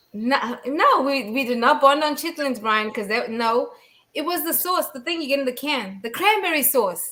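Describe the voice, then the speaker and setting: A woman's raised, projected voice at high pitch, with lively intonation and a moderate pace. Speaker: podcast host. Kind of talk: casual chat. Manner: swallows words.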